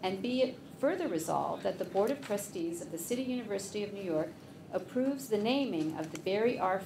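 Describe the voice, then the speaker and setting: A woman talks at a fairly quick pace while noticeable background noise runs underneath. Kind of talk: formal reading then explanation. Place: meeting room. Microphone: podium.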